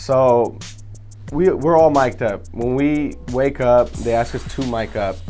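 Faint music plays in the background as a man with an American accent speaks very slowly with lively intonation. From Sacramento, California. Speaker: reality TV cast member. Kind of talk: casual interview answer. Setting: studio. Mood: relaxed, amused. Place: studio.

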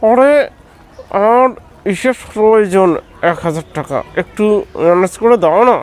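The cartoonish character voice goes at a moderate pace. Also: man, high pitch for a man. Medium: puppet.

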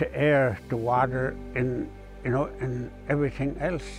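Over clear music in the background, a man's voice comes through dry with no echo. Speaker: heritage guide. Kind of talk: interview answer. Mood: calm, reflective, somewhat sad. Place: open country. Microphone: lapel.

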